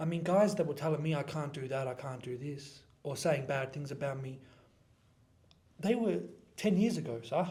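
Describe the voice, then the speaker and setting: Speaking with an Australian accent, a man with a fairly high pitch and a dark, mellow, somewhat breathy tone uses lively intonation and long, frequent pauses, with audible room echo. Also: moderate pace. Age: 20s. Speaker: personal trainer and content creator. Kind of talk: casual interview.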